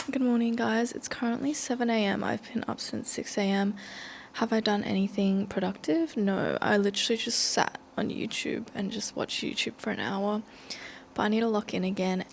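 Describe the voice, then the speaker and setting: A woman's fairly high voice with an Australian accent, fairly even intonation and a moderate pace. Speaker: student vlogger. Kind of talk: casual vlog talk. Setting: library.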